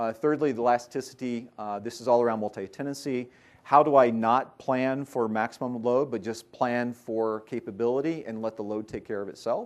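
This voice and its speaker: At a fairly quick pace, a man talks at a medium pitch with fairly even intonation. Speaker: tech industry speaker. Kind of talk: conference talk. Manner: fast.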